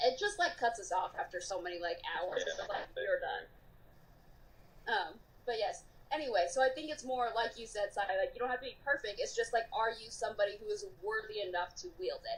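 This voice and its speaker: Her pitch high, a woman speaks at a fairly quick clip with very wide pitch swings. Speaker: film discussion podcaster. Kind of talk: casual debate. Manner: fast.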